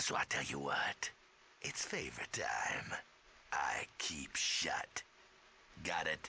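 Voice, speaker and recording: Whispering in a put-on character voice, a man goes at a very slow pace with long, frequent pauses. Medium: video game. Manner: clipped, slangy, scornful.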